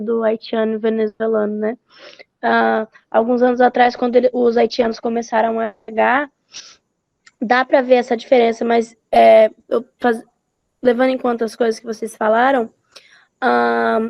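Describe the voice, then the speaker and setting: Using a fairly high, flat monotone, a woman speaks at a moderate pace with long, frequent pauses. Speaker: student. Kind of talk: class discussion.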